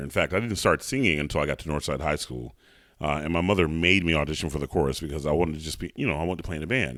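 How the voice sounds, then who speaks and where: A man with an American accent speaks very fast in a very deep, low voice with vocal fry. The recording is very clean, the background silent. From US South, Atlanta. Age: 40s. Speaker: opera singer. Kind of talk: interview.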